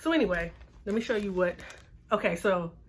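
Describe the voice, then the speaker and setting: The pace is fairly quick. There is a somewhat breathy quality to the voice. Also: woman. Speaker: beauty vlogger. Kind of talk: casual vlog talk.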